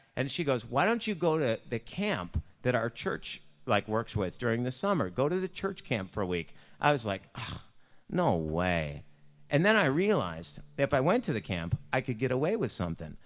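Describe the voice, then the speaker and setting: In a Buffalo accent, a man of medium pitch sounds animated, with very wide pitch swings. Vocal fry runs through his speech. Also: moderate pace. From US, Buffalo, New York. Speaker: youth speaker or pastor. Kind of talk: devotional talk with personal story. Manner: casual, animated storytelling.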